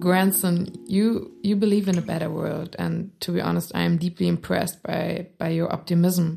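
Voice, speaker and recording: A woman with a German accent talks at a moderate pace with hardly any pauses. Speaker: podcast host. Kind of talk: interview. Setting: studio.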